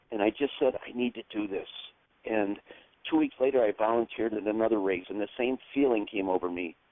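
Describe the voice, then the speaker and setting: A man speaks in an unremarkable speaking voice with an American accent. His medium pitch has ordinary variation, and his pace is fairly quick. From New York. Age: 60s. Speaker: amateur triathlete. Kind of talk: interview testimony.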